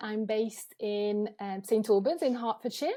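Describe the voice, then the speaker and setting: In a French accent, a dark, mellow tone comes through at a moderate pace on a very clean recording with a silent background. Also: woman. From France, Avignon. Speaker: photographer. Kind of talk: podcast interview. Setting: video podcast.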